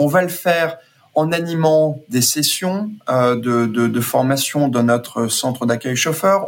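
Fairly high for a man, this man's voice carries ordinary pitch variation. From grew up abroad: Brazil, French Guiana, Guadeloupe. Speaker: ride-hailing company executive. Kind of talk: interview. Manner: halting, many repeated words and fillers.

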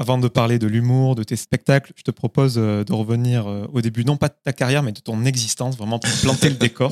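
A man with a plain, everyday voice talks at a fairly quick pace with hardly any pauses, at a medium pitch and with fairly even intonation, in a dry, close sound with no echo. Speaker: podcast host. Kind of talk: interview.

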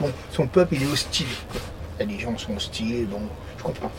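Noticeable background noise sits under a man's voice with lively intonation. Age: 60s. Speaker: passerby interviewee, former carpenter. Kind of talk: casual chat. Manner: talkative and at ease.

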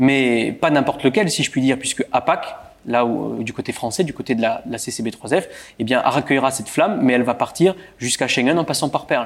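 With noticeable background noise behind him, a man speaks at a fairly quick pace and a medium pitch, his pitch variation ordinary. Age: 30s. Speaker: local politician. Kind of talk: interview. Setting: stage with audience.

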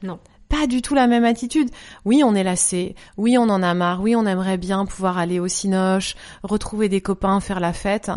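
A woman with a normal speaking voice talks at a moderate pace, medium in pitch with ordinary pitch variation. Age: 40s. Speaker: yoga teacher, former journalist. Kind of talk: casual interview.

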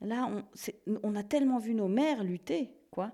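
Woman at medium pitch with a dark, mellow tone and lively intonation, on a very clean recording with a silent background. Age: 30s. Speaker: theologian. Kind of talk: interview.

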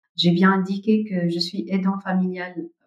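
Speaking very slowly, a woman with a medium-pitched voice has a dark, mellow tone. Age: 40s. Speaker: family caregiver and nonprofit site manager. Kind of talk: interview testimony. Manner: hesitant, with frequent fillers.

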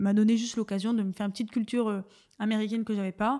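A woman speaks very fast in a dark, mellow tone. Her intonation is fairly even. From northern France, Dunkirk. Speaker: beginner stand-up comedian. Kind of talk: casual interview chat.

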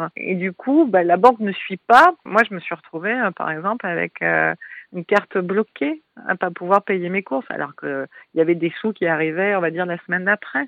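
A woman with a mid-range voice talks at a medium tempo, her pitch moving in a typical way. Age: 40s. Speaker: artist and breast cancer survivor. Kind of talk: interview testimony. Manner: hesitant, many fillers.

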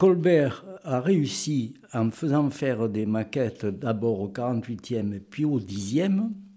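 Very slow yet with hardly any pauses, a man speaks at a medium pitch with lively intonation. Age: 80s+. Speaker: retired naval model maker. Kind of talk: casual interview. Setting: home garage workshop.

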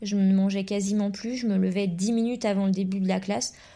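Somewhat breathy, a woman speaks at a medium pitch and fairly quick pace, in a dark, mellow tone with fairly even intonation. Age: 20s. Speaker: primary school teacher. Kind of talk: testimony.

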